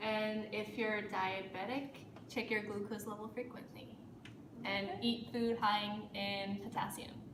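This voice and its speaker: A woman speaks at medium pitch and a fairly slow pace, in a flat monotone. Background noise is noticeable. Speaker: nursing student contestant. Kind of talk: student answering quiz questions.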